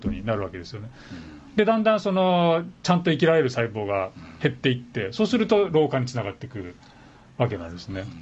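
Somewhat breathy, a man rushes at a very fast pace with very wide pitch swings and big swings in loudness. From Japan, Tokyo. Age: 50s. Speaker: physician and medical professor. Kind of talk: casual interview chat. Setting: radio studio.

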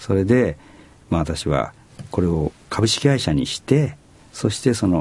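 A somewhat breathy man's voice at a fairly low pitch, with very wide pitch swings, a fairly slow pace and long, frequent pauses. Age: 70s. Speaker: company president. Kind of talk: interview conversation.

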